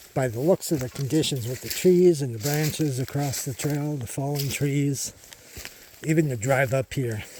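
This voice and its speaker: Against noticeable background noise, a man with a fairly high voice speaks at a moderate pace with ordinary pitch variation. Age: 50s. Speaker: hiking vlogger. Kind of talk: outdoor walking vlog narration. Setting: outdoors on a forest trail. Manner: casual, conversational.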